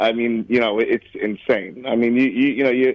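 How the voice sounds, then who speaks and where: At a moderate pace, a man talks in a New York accent. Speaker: college football handicapper. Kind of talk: radio interview.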